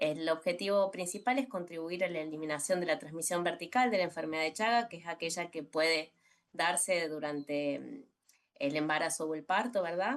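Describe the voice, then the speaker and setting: A woman in a Córdoba Argentine accent, fairly low in pitch, at a moderate pace with ordinary pitch variation and big swings in loudness. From Argentina, Córdoba. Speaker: communicator and social health researcher. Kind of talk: presentation in a virtual panel. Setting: video call. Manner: hesitant, many fillers.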